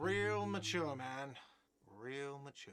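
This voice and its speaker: A man puts on a whiny character voice at medium pitch. The recording carries an audible echo. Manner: complaining, sarcastic.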